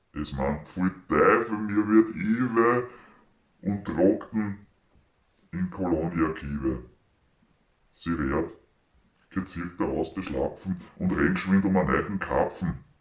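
In a Viennese accent, a man speaks at a very slow pace in a very deep, low pitch with vocal fry and lively intonation. Long, frequent pauses fill the clip, which has audible room echo over a quiet background. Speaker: mechanics teacher. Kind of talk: poetry reading. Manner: contemplative, lilting. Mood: festive, humorous. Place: home room. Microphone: phone near.

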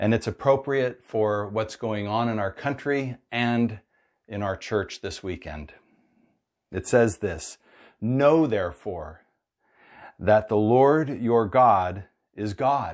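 Long, frequent pauses mark a very slow delivery with ordinary pitch variation over a quiet background. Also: man, fairly low pitch for a man. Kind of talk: sermon. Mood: warm, upbeat, earnest. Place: home room. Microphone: lapel.

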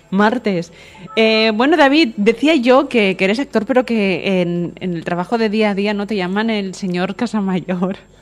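Noticeable background noise sits behind a woman speaking at a medium pitch. She talks at a fairly slow pace with ordinary pitch variation. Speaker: radio host. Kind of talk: radio interview. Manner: energetic.

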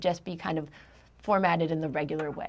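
At a fairly quick pace, a woman is talking. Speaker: instructor. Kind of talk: lecture. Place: studio.

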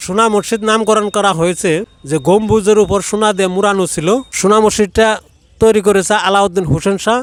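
High in pitch, a man speaks with fairly even intonation and very even loudness. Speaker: local elder. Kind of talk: oral history explanation. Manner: halting.

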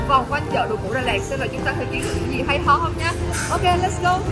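Loud music plays in the background while a woman talks at a very fast pace. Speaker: fashion vlogger. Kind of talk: casual vlog chat. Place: market. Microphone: phone near.

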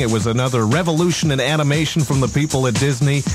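Intonation is lively as a man speaks at a fairly high pitch. Music plays clearly in the background. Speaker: radio host. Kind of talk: radio countdown banter. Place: studio. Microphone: studio mic.

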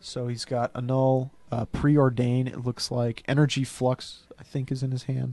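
A man talks in a flat monotone. The sound is dry, with no echo. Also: fairly slow pace, hardly any pauses. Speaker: game commentator. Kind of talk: live commentary. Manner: quiet, trying not to be overheard. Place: booth. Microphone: headset.

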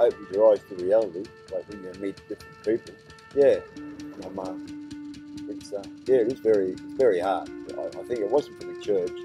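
The speaker has an Australian accent and a moderate pace. Loudness swings widely, with music in the background. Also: man. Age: 60s. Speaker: homeless man. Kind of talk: life story interview. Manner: hesitant, halting.

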